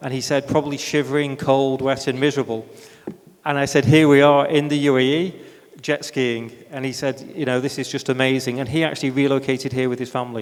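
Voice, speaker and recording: A man with a British accent speaks at a fairly quick pace, with a medium pitch and monotone, flat intonation. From UK. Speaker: free zone executive. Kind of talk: panel discussion.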